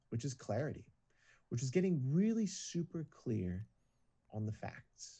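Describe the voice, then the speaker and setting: Here a man talks at a medium pitch with a dark, mellow tone, somewhat breathy. His pitch swings very widely at a moderate pace. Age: 40s. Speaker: singer turned business coach. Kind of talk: casual interview chat. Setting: video call.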